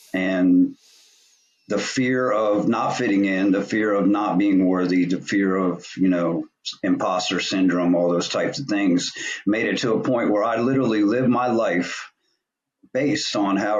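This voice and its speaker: This man has a fairly low pitch and an unremarkable speaking voice. He talks at a moderate pace. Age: 50s. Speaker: podcast host. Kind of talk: casual interview chat.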